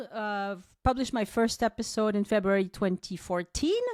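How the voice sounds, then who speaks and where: A woman speaks at a moderate pace. She has a slight French accent. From southwest France, Toulouse. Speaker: travel podcaster and tour guide. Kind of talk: podcast interview. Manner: hesitant, many fillers.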